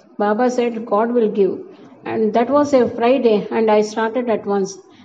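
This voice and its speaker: Noticeable background noise runs under this recording. A woman speaks with a fairly high pitch and fairly even intonation. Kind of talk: audiobook narration. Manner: formal, even-paced reading.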